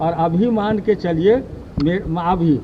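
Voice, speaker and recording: Against noticeable background noise, a man talks with a high pitch and ordinary pitch variation. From India, Bihar (Darbhanga). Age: 70s. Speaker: retired educationist, villager. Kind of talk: street interview.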